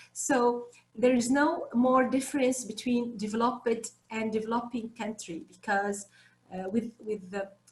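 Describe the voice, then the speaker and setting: Speaking at a fairly slow pace with a non-native accent, a woman keeps her voice fairly high. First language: not English. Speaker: teacher. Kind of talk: panel discussion. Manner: halting; animated.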